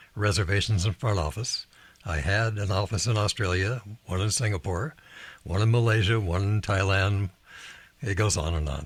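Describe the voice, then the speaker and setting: A man with a somewhat breathy, fairly low voice talks at a moderate pace with ordinary pitch variation. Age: 80s+. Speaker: leadership author and investor. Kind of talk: interview.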